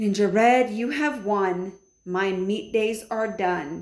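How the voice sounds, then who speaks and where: A woman does a put-on character voice at a very slow pace and a medium pitch. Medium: read story. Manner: wheedling.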